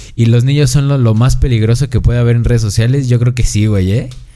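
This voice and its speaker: A man's dark, mellow voice at medium pitch, with audible room echo. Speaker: podcast host. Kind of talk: casual chat. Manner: animated.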